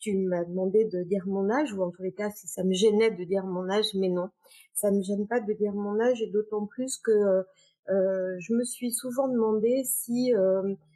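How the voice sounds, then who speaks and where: Speaking at a moderate pace, a woman uses a dark, mellow tone at a medium pitch with fairly even intonation. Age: 60s. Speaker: business executive. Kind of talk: interview. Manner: hesitant, many fillers.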